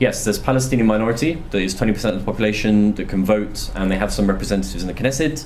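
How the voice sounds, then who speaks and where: Against noticeable background noise and audible room echo, a man talks at a very fast pace with a fairly low pitch. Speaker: journalist and author giving a talk. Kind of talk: Q&A answers after a talk. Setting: university lecture room with audience.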